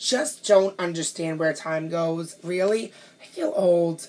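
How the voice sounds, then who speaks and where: The speaker is a woman with a New York accent. She sounds animated while keeping a fairly slow pace. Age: 30s. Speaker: pastry chef. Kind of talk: audition video monologue.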